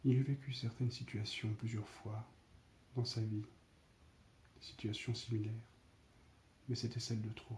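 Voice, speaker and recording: A soft-spoken, somewhat breathy man talks at a fairly slow pace and a medium pitch, with long, frequent pauses. His intonation is monotone and flat, yet his loudness swings widely. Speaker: ASMR storyteller. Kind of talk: read story.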